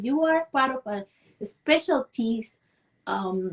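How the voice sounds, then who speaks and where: A woman with a Cuban accent talks in a high voice. Her intonation is lively. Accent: Cuban Spanish, rural small-town. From Cuba, rural Villa Clara. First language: Spanish. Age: 40s. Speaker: dance and movement coach. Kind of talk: interview. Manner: halting, with repetitions and fillers.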